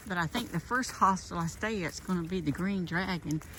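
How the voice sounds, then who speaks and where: At a moderate pace, a woman with an unremarkable speaking voice talks in a fairly low pitch and ordinary pitch variation. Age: 60s. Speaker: nurse and hiking vlogger. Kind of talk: casual vlog. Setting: outdoors on a trail.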